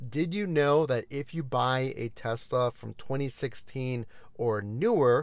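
A man at a very slow pace, with a quiet background. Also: dry sound with no echo. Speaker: car review host. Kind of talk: informational commentary. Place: car. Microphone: lapel.

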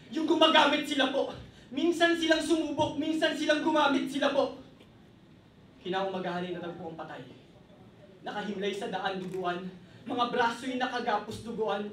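With lively intonation, a man speaks at an extremely high pitch and a moderate pace. There is audible room echo and light background noise. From Philippines. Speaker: spoken word poet. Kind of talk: spoken word performance; casual stage introduction. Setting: stage with audience. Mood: intense, grave. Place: cafe.

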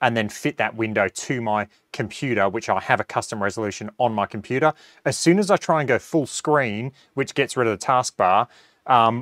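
Against a quiet background, a man speaks fairly quickly with ordinary pitch variation, the sound dry with no echo. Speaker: golf simulator reviewer. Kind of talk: tutorial. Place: home room. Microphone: lapel.

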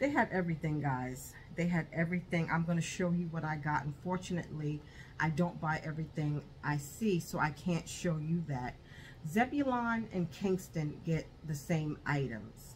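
A woman speaks with a very deep, low pitch and a somewhat breathy voice. Light background noise can be heard. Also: ordinary pitch variation, moderate pace. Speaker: haul vlogger. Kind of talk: casual vlog chat. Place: home room. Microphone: phone near.

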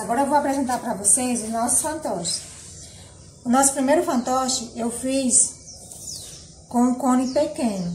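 A high-pitched woman speaks at a moderate pace. Audible room echo and light background noise surround her voice. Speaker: nursery teacher. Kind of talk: tutorial. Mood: warm, gentle. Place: home room. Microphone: camera far.

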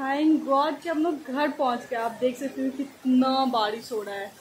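Her high-pitched voice comes through over light background noise as a woman speaks. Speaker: vlogger. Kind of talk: casual vlog chat. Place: home room. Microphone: phone near.

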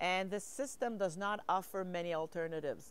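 This woman has a Quebec French accent, ordinary pitch variation, and a dry sound with no echo. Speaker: mental health activist and researcher. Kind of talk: interview. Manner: halting. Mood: earnest, reflective. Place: garden.

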